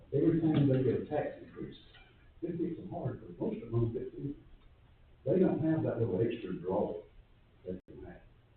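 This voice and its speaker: Audible room echo carries a man's voice in an American accent at a moderate pace. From US South, Madison County, Georgia. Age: 70s. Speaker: resident speaking at public comment. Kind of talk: public comment at county meeting. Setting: county commission meeting room.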